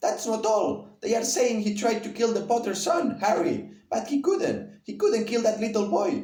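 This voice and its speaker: Putting on a character voice, a man speaks in a high, shaky pitch at a moderate pace with a slight echo. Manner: shaken, somber.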